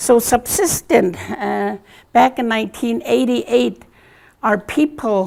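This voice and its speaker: A woman talks at a very slow pace with vocal fry. Her pitch swings very widely. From Arctic Village, Alaska (Gwich'in). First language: Gwich'in. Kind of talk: conference talk. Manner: halting, many fillers.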